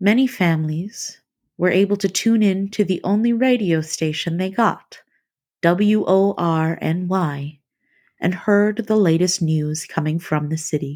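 In a very clean recording with a silent background, a woman with a normal speaking voice talks fairly slowly at a medium pitch with ordinary pitch variation. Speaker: podcast host. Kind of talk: documentary narration. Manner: measured, storytelling tone.

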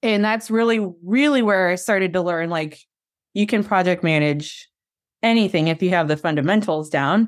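A woman of medium pitch has an unremarkable speaking voice, with ordinary pitch variation and a moderate pace. The recording is very clean, with a silent background. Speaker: chief of staff. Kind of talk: casual interview.

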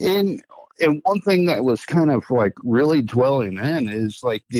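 A man talks at a fairly slow pace. The recording is very clean, and the background is silent. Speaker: associate pastor. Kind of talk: casual chat.

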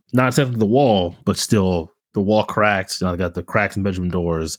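A man with a plain, everyday voice speaks at a fairly low pitch and a moderate pace. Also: hardly any pauses. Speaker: podcast co-host. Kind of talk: casual chat.

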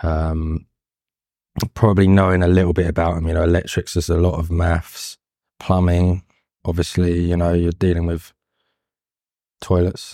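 A man with a London accent speaks at a moderate pace, his very deep, low voice dark and mellow in tone, with monotone, flat intonation. Long, frequent pauses break up his speech in a very clean recording with a silent background. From London, England. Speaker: carpenter and fine furniture maker. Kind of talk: interview. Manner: hesitant.

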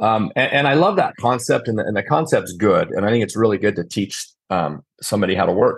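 A man with an American accent and an ordinary speaking voice, fairly low in pitch, with lively intonation against a quiet background. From Utah. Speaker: contractor, company owner. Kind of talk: casual interview chat. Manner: conversational, filler-heavy.

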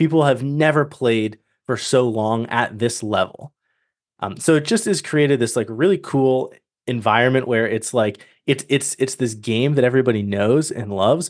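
A man speaks in a normal speaking voice at a moderate pace with ordinary pitch variation. The background is quiet. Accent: American. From Massachusetts South Shore. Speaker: gaming podcast co-host. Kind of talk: casual chat.

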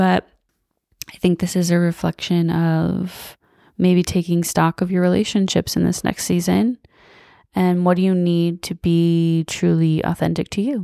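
Recorded dry and close with no echo against a silent background in a very clean recording, a woman speaks at a fairly slow pace in a dark, mellow, warm, calm tone with a fairly low pitch, fairly even intonation and very even loudness. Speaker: spiritual podcast host and meditation guide. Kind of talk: guided meditation, soothing instructional breathing cues; casual, warm chat intro and outro. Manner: slow, calm, gentle, with long pauses and soft sighs; soft-spoken, warm, reassuring.

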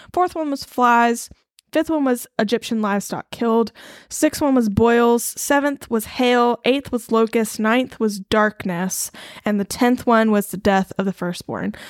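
In an ordinary speaking voice with an American accent, a woman speaks at a fairly slow pace with a fairly high pitch and ordinary pitch variation, the sound dry and close with no echo on a very clean recording with a silent background. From Eastern North Carolina. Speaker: podcast co-host. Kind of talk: casual Bible study chat.

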